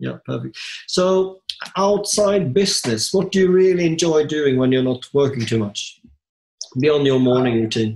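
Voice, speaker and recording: Here a man with an unremarkable speaking voice talks at a fairly high pitch. His intonation is lively and his pace moderate. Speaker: podcast co-host, property investor. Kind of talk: casual interview.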